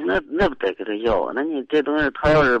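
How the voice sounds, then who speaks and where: A man at a fairly quick pace, with a dry, close sound and no echo. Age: 30s. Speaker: caller, building materials businessman. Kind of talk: advice call-in. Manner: halting.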